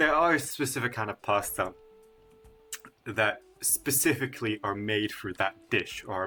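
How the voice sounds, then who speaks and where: With music in the background, a man with an Italian accent talks at a fairly slow pace, medium pitch and ordinary pitch variation. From Sicily, southern Italy. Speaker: YouTuber. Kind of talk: casual ranking video. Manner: animated.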